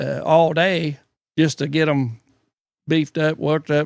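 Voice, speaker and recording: Man with a fairly high pitch at a moderate pace. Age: 60s. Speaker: retired logger and sawmill worker. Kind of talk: casual chat. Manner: halting.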